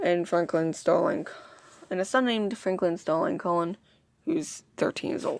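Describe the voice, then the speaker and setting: A woman at medium pitch, with very wide pitch swings and a moderate pace. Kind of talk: read story. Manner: stuttering.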